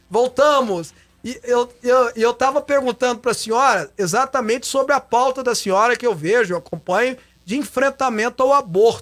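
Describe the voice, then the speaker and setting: At a moderate pace, a man speaks at an extremely high pitch with ordinary pitch variation. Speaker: TV and radio talk show host. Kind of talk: live talk show.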